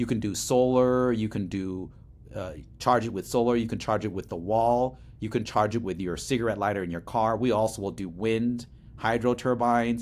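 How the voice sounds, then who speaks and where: Speaking with an American accent, a man uses an unremarkable speaking voice at medium pitch, keeping a moderate pace and fairly even intonation. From Laos, came to US as refugee in early 1980s. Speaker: startup CEO. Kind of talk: interview.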